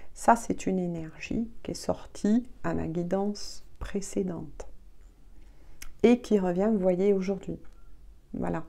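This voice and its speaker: A soft-spoken woman talks at a very slow pace. Long pauses come often. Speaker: tarot reader. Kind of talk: tarot reading guidance. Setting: video at home.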